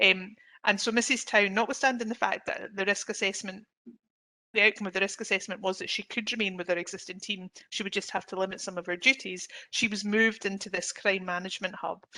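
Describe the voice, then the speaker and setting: Very fast pace, fairly even intonation and a bright, sharp tone. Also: woman, medium pitch for a woman. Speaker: employment lawyer. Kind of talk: webinar presentation. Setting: online webinar.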